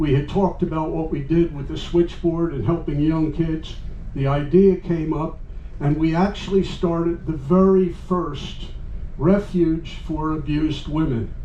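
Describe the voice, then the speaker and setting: Fairly slow, fairly even speech from a man at a fairly high pitch, with noticeable background noise and audible room echo. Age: 80s+. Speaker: retired computer professional. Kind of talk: talk to a live audience. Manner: rambling, extemporaneous.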